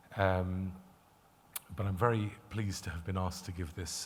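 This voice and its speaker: A man with a very deep, low, somewhat breathy voice speaks in a room with audible echo. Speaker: lawyer and conference speaker. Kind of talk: conference presentation. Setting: conference stage with audience. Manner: hesitant, many filler words.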